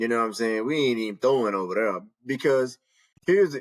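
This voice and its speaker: The recording is very clean, and the background is silent. A man talks at a medium pitch, his pitch varying in an ordinary way. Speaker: podcast co-host. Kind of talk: casual chat. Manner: loud; animated.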